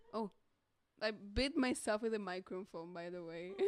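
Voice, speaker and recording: In a dry sound with no echo, a woman with a Portuguese accent talks with ordinary pitch variation. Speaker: streamer drawing live commissions. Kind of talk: casual live stream chat. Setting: friend's home studio, live stream. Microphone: mic very close, bumping mouth; studio mic.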